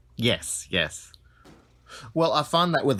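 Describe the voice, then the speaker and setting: Talking at a fairly slow pace, a man with an Australian accent shows ordinary pitch variation. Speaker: podcast guest. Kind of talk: casual chat.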